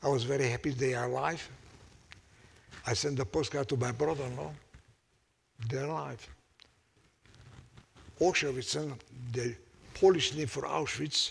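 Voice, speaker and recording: Speaking at a medium pitch with ordinary pitch variation, a man shows vocal fry and leaves long, frequent pauses. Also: moderate pace. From Hungary. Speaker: Holocaust survivor. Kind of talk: unscripted testimony talk to audience.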